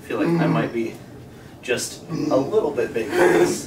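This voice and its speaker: Loud background noise surrounds a man as he talks. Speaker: vlogger trying on suit. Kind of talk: casual vlog chat. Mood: amused, self-deprecating. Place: home room.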